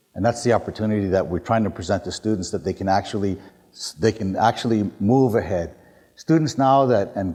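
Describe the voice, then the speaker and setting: Fairly low-pitched male voice with a dark, mellow tone. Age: 50s. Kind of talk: public talk. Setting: university hall with audience. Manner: casual, conversational with many fillers.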